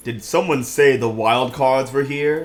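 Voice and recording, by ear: A booming, put-on character voice from a man, medium-pitched, at a fairly slow pace with fairly even intonation, faint music in the background.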